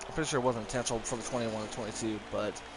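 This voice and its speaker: Over music in the background, a man with a strong West Virginia accent speaks in a flat monotone at a medium pitch. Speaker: sim racing commentator. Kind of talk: live commentary.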